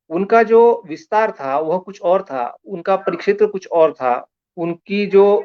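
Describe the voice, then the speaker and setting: Speaking with a Marathi accent, a man uses lively intonation at a high pitch. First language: Marathi (speaking Hindi). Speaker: science communicator. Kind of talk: lecture. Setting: Facebook live online session.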